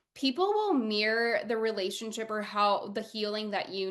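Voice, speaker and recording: Speaking at a moderate pace, a woman uses a normal speaking voice that is fairly high in pitch with ordinary variation. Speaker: podcast host and spiritual guide. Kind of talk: casual interview chat.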